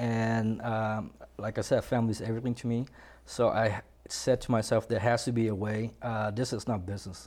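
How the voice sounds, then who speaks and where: Speaking with a Vietnamese accent, a man talks at a moderate pace. His pitch is medium. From Vietnam, then Washington State. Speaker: landscaping business owner. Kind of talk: interview. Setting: studio. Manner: halting.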